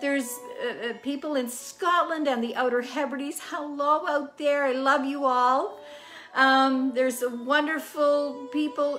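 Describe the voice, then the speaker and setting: Faint music sits in the background as a woman talks at a very slow pace. Her pitch is high, with ordinary variation. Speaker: home cooking show host. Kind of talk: casual chat to viewers. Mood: warm and cheerful. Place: kitchen. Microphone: phone near.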